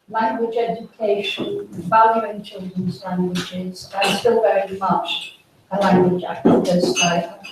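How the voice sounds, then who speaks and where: Audible room echo fills the space. A woman talks at a very slow pace. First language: French English bilingual from early childhood. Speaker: retired teacher educator and researcher. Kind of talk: conference talk.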